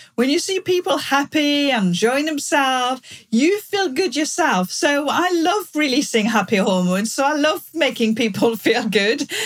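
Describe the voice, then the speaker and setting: A woman speaks at a high pitch with very wide pitch swings, a moderate pace and hardly any pauses. Her loudness stays very even over music in the background. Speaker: customer experience consultant. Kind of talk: interview.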